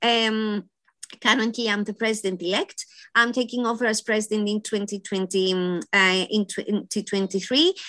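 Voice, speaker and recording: A woman speaks in a Greek accent with a fairly high pitch and a bright, sharp tone, at a fairly slow pace with fairly even intonation. The sound is dry and close with no echo, against a quiet background. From Greece (Athens). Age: 50s. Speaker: library association president. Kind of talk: interview.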